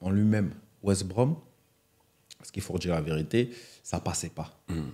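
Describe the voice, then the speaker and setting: A man speaks at a moderate pace in a dark, mellow tone, his pitch fairly low, against a quiet background. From Cameroonian family, raised in France. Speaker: retired footballer; guest. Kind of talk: interview. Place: studio. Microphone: studio mic.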